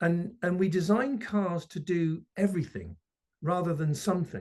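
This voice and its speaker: In a British accent, a man talks with a somewhat breathy voice. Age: 60s. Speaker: electric mobility expert. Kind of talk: interview. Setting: video call.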